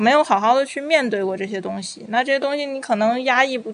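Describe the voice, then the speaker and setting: A woman speaks fairly quickly while noticeable background noise fills the recording. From Beijing. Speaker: psychological counselor. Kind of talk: casual interview chat.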